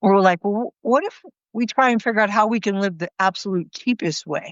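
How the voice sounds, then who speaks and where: With an American accent and an ordinary speaking voice, a woman talks at a fairly quick pace in a medium pitch with ordinary pitch variation. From California, US. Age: 60s. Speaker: retired teacher turned thru-hiker. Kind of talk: casual interview chat. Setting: inside their RV.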